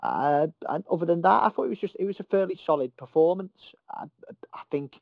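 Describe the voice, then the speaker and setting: With a Merseyside accent, a man talks at a very fast pace. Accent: Merseyside (Scouse). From Merseyside, England. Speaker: football journalist. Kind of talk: casual interview.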